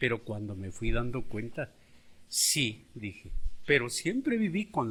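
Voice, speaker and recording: The man's voice is somewhat breathy. He speaks at a very slow pace. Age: 60s. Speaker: schoolteacher. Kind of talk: interview testimony.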